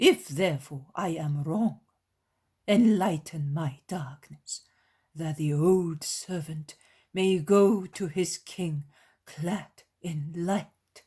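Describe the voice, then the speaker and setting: A man puts on a character voice pitched high for a man. He talks at a very slow pace. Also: ordinary pitch variation. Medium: read story. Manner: reverent, measured.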